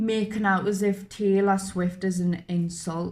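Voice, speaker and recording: A woman's medium-pitched, somewhat breathy voice in a flat monotone. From northern England, Newcastle. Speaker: YouTuber, reaction channel. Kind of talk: casual chat. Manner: halting.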